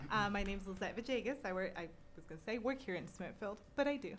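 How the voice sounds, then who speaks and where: Audible room echo surrounds a woman talking at a very fast pace. Her pitch is medium, with ordinary variation. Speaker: resident making public comment. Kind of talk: public comment at city council. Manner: loud.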